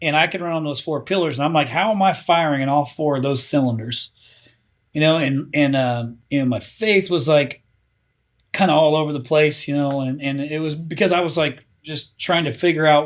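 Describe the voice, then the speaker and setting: A man with an American accent and an ordinary speaking voice talks at a moderate pace and a fairly high pitch with ordinary pitch variation. The recording is very clean, with a silent background. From US Midwest, Indiana. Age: 40s. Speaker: marketing company founder. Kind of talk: podcast interview. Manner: casual, filler-heavy.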